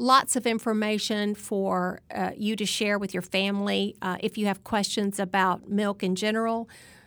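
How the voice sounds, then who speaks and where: At a moderate pace, a woman with a Southern US accent speaks at medium pitch in a flat monotone on a very clean recording with a silent background. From Alabama. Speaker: dietitian. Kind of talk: interview.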